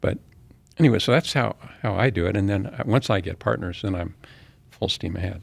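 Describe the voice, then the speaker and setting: With an American accent, a man speaks at a fairly quick pace in a fairly low, somewhat breathy voice, his intonation lively and broken by long, frequent pauses. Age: 70s. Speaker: real estate developer and Vietnam veteran. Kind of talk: interview conversation. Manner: halting, with frequent restarts.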